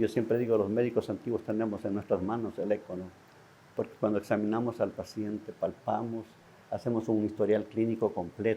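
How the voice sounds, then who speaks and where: A dark, mellow tone at a moderate pace. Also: man. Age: 70s. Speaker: physician. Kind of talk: interview. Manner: hesitant, many fillers.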